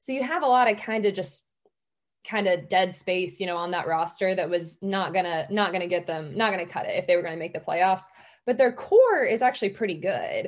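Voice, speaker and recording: This is an unremarkable speaking voice: a woman at a medium pitch with ordinary pitch variation. She speaks at a fairly quick pace over a quiet background. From Georgia, US South (about an hour south of Atlanta). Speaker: sports journalist. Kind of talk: casual interview chat.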